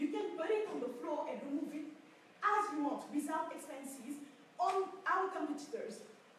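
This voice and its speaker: A woman speaks at a moderate pace in a high voice. Room echo is audible. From Senegal. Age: 20s. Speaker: young entrepreneur. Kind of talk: pitch presentation.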